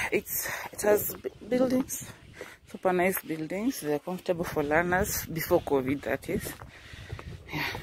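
A woman's fairly low voice with a Kenyan accent, at a moderate pace with long, frequent pauses, a dry sound with no echo, and noticeable background noise. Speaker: high school teacher and vlogger; high school teacher, vlogger. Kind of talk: vlog. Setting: outdoors, walking to school. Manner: casual, chatty. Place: open country. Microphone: phone near.

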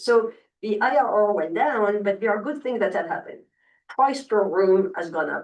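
A moderate pace in a non-native accent. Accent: noticeable non-native English. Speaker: hotel developer and investor. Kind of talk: public meeting presentation. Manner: halting, many fillers.

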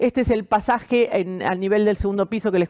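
A woman speaks in a plain, everyday voice at a moderate pace with ordinary pitch variation against a quiet background. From Argentina. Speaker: architect. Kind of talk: presentation. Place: home room. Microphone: webcam.

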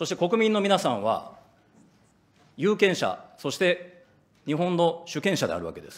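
A man talks at a moderate pace. His pitch is high. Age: 40s. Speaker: opposition politician. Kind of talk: parliamentary questioning. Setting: parliament committee room. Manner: formal. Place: hall. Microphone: podium.

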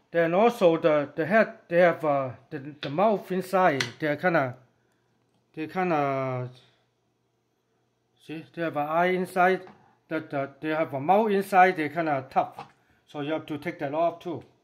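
The pace is fairly slow. Long pauses come often. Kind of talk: tutorial. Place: kitchen.

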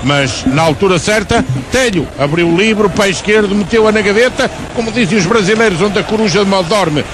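Over noticeable background noise, a high-pitched man keeps his loudness very even and his pitch variation ordinary. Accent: European Portuguese. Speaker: radio football commentator (co-commentator/analyst). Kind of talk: live football radio commentary, calm analysis. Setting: radio broadcast from stadium. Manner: calm, measured, analytical.

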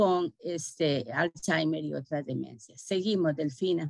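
A woman's voice with ordinary pitch variation, dry with no echo, over a quiet background. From Costa Rica. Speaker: government health official; webinar presenter. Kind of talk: presentation. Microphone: video call.

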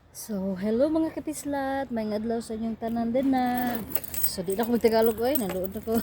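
A woman speaks in a Philippine accent with a fairly high pitch and ordinary pitch variation. Noticeable background noise sits behind her voice. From Visayas, Philippines. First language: Cebuano (speaking Tagalog). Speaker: domestic helper vlogger. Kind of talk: casual vlog. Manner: hurried, hushed.

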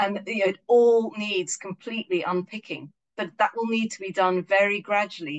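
The speaker is a woman with an English accent. She talks at a moderate pace. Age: 50s. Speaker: local currency organiser. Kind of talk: online lecture with Q&A. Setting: video call. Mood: earnest, morally engaged. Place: home room. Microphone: video call.

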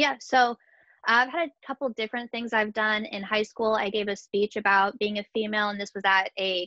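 A woman speaks at a moderate pace in a bright, sharp tone, with little pitch movement. The sound is dry and close, with no echo. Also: medium pitch for a woman.

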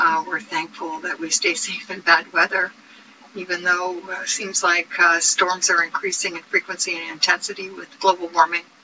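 A woman's fairly low voice at a moderate pace, fairly even in intonation, with noticeable background noise. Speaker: sailing vlogger. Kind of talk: casual vlog chat. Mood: warm, grateful. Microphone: webcam.

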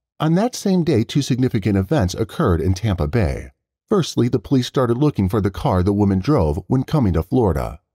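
A man's fairly low voice with vocal fry and a dark, mellow, dramatic, solemn tone, very wide pitch swings, a fairly quick pace and very even loudness, dry and close with no echo in a very clean recording over a silent background. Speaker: narrator. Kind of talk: true-crime narration. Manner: measured, dramatic, solemn storytelling pace.

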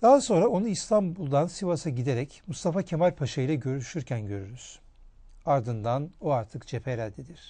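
A man's fairly high, somewhat breathy voice with a dark, mellow tone and very wide pitch swings, against a quiet background. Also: moderate pace. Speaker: historian, TV presenter. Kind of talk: scripted narration. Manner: formal.

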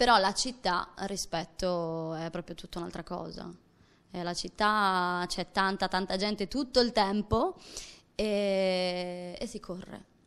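Her intonation is fairly even. The woman talks at a very slow pace. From Sardinia, Domus de Maria; Sardinia. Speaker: actress and theatre performer; actress. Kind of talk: interview; interview answer. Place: studio. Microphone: handheld.

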